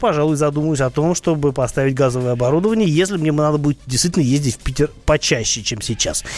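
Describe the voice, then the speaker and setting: With background music playing, a man's speech carries lively intonation. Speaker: radio host and car expert. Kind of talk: radio talk show answering listener questions.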